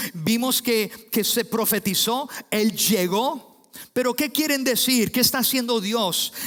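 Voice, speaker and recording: A man speaks at a very slow pace in an extremely high pitch, with ordinary pitch variation. His loudness stays very even, and there is noticeable background noise. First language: English (speaking Spanish). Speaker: pastor. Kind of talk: sermon. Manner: halting with fillers.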